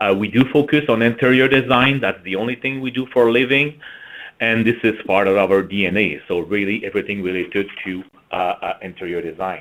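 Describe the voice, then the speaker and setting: A fairly quick delivery in a French-Canadian accent, with ordinary pitch variation. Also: man, medium pitch for a man. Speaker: marketing executive. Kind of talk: webinar presentation.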